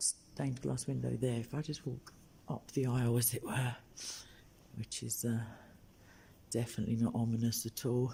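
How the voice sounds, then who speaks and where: A quiet, somewhat breathy male voice at medium pitch, dark and mellow in tone, with ordinary pitch variation, a moderate pace and long, frequent pauses. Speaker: street preacher livestreamer. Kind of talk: live stream tour. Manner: speaking quietly.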